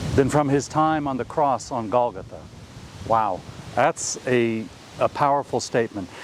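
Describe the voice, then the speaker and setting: At a moderate pace, a man with a medium pitch and ordinary pitch variation speaks with long, frequent pauses. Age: 60s. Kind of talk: talk to camera. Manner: halting.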